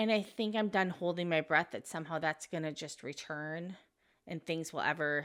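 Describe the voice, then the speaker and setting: With an American accent and a plain, everyday voice, the speaker talks at a moderate pace with ordinary pitch variation in a very clean recording with a silent background. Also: woman. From United States. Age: 40s. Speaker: expat lifestyle vlogger. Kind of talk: casual talk to camera. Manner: reflective, earnest.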